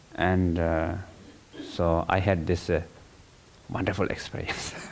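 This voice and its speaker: At a fairly slow pace, a man with a non-native accent speaks in a very deep, low pitch with monotone, flat intonation. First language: not English. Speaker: meditation teacher. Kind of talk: dharma talk. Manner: halting.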